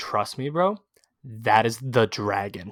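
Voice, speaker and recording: A man does a put-on character voice at a medium pitch and a fairly slow pace. The sound is dry and close, with no echo. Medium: solo performance. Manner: insistent, repetitive, calls everyone bro.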